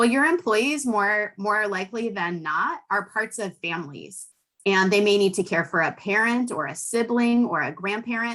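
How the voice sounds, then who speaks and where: Speaking with an American accent, a woman at medium pitch has a bright, sharp tone and ordinary pitch variation. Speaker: policy expert. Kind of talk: webinar presentation. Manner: fast.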